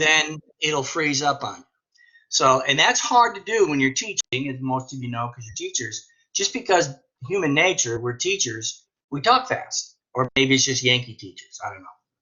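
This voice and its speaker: A man with a normal speaking voice talks in an American accent. His pitch is fairly high, his intonation lively, and his loudness swings widely. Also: moderate pace. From northern US. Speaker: teacher. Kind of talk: casual discussion in a webinar.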